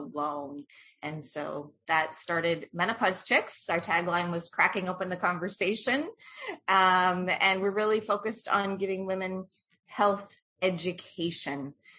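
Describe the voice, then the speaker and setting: In an unremarkable speaking voice, a woman talks fairly slowly at a medium pitch that varies in an ordinary way. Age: 50s. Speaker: menopause educator, community founder. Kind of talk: podcast interview. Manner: casual with fillers.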